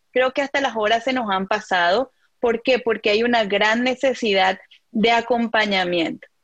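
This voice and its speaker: At a moderate pace, a woman with an ordinary speaking voice talks at fairly high pitch with ordinary pitch variation and very even loudness, in a dry, close recording with no echo. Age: young. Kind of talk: interview. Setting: video call.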